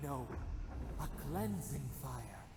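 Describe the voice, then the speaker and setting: A put-on character voice with very deep, low pitch carries a clear echo over clear background noise. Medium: video game. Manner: terse, cryptic.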